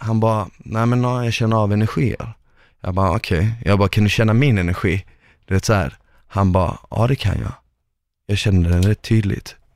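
A man with a plain, everyday voice speaks at a moderate pace and a fairly low pitch, with ordinary pitch variation. The recording is very clean, with a silent background. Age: 20s. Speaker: podcast host, former reality TV contestant. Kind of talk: casual chat.

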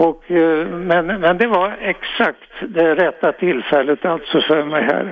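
A man speaks at a very slow pace with very even loudness and ordinary pitch variation. Noticeable background noise runs underneath. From Sweden, Örebro. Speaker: caller. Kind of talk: phone-in storytelling. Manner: halting.

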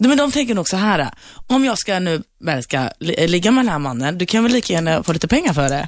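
Over a silent background in a very clean recording, a woman at medium pitch speaks at a fairly quick pace with very wide pitch swings. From Sweden, Turkish family. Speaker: bar owner. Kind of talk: studio debate. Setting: radio studio.

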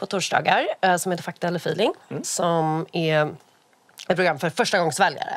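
A woman with a plain, everyday voice talks at a moderate pace, a fairly low pitch and ordinary pitch variation. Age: 30s. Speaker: columnist and podcaster. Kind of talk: casual chat.

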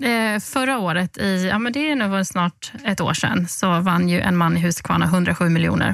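A woman speaks at a medium pitch with very even loudness and hardly any pauses. Noticeable background noise sits behind her. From Halmstad, Swedish west coast. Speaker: lottery winner communicator, former journalist. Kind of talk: podcast interview. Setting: studio.

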